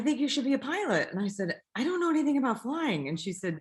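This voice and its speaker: With noticeable background noise behind her, a woman talks in a West Coast US accent. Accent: General American, West Coast. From Northern California, Bay Area. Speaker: airline pilot. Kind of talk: interview conversation.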